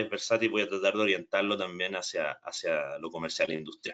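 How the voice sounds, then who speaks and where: With a Chilean accent, a man speaks at a fairly quick pace. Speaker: energy storage specialist. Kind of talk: technical training webinar. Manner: hesitant, with repetitions and fillers.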